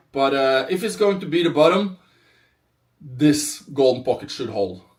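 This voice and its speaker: Speaking at a moderate pace, a man with a non-native accent has a fairly high pitch. His intonation is lively. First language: not English. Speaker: crypto trader. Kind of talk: live stream market analysis. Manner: animated, hyped; halting, with fillers.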